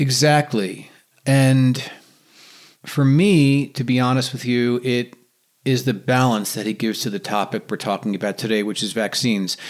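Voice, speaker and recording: A man speaks with an American accent in a normal speaking voice, at medium pitch and a moderate pace with ordinary pitch variation. The recording is very clean with a silent background. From New York, eastern Long Island. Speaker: podcast host. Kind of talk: casual interview chat.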